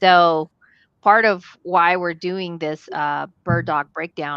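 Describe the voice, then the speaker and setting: Dry and close with no echo, a woman's voice moves at a very slow pace with fairly even intonation. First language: not English. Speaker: real estate investor. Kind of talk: casual panel discussion. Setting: live stream video call. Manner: halting.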